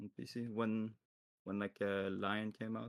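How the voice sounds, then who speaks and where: The speech comes at a fairly slow pace in a French accent. Intonation stays monotone and flat, with a dry, close sound and no echo. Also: man. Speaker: pro esports player. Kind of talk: interview. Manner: halting.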